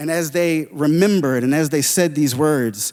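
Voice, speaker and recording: Speaking fairly slowly in an unremarkable speaking voice, a man holds a fairly high pitch with ordinary pitch variation. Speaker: spoken word poet. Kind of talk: stage talk introducing a spoken word piece.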